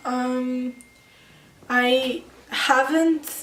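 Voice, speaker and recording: Audible room echo and noticeable background noise surround a woman whose pitch varies in an ordinary way. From Serbia, partly raised in Italy and Moscow. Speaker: interviewee. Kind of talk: interview.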